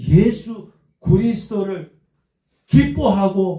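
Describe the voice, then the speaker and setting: A man's dark, mellow tone with lively intonation. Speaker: pastor. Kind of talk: sermon. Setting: church with congregation responding. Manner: call-and-response preaching, asks congregation questions.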